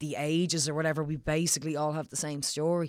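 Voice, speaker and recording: A woman speaks in an Irish accent, her pitch very deep and low, her intonation flat and monotone. The recording is very clean, with a silent background. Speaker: comedian and actress. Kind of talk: casual chat.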